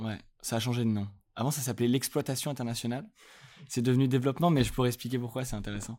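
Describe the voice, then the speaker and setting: A dark, mellow tone moves at a very fast pace with fairly even intonation, broken by long, frequent pauses. The recording is very clean, with a silent background. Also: man, medium pitch for a man. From France, Lyon. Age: 20s. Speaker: music industry manager. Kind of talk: casual interview.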